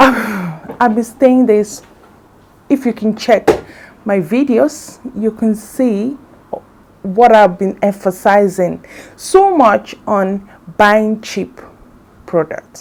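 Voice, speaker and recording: In a Nigerian accent, a woman speaks very slowly at a fairly high pitch, with ordinary pitch variation and long, frequent pauses. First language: Igbo. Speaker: beauty vlogger. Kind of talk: casual vlog talk. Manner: halting.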